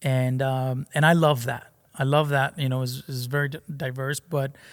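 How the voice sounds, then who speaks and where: On a very clean recording with a silent background, a man with a Spanish accent speaks at a fairly high pitch. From Mexico. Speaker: pastor. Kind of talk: podcast interview.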